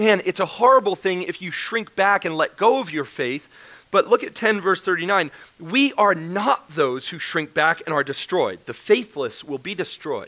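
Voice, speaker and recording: Bright and sharp in tone, a man's voice is raised and projected. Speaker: preacher. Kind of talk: sermon. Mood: joking, then earnest. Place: church.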